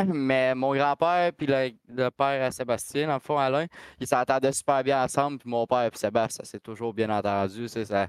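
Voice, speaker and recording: With a Quebec accent, a man speaks at a medium pitch with ordinary pitch variation, in a dry, close sound with no echo and a quiet background. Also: moderate pace. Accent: Québécois French. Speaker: race car driver. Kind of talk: casual chat.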